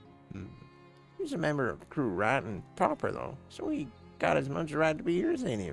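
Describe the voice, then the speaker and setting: Over clear music in the background, a man uses a gruff put-on character voice with a fairly high pitch at a fairly quick pace. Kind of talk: old sea dog speech. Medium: game stream. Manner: gruff, salty sailor talk.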